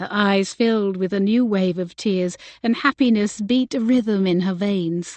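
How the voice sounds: Reading voice, natural in manner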